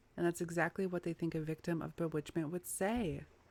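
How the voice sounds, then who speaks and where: A soft-spoken woman at a moderate pace. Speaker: gaming YouTuber. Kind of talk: let's play commentary reading game text aloud.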